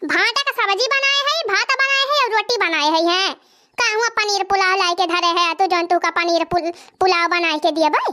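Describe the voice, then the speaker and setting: She speaks in a cartoonish character voice with an extremely high pitch. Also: moderate pace. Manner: complaining, argumentative.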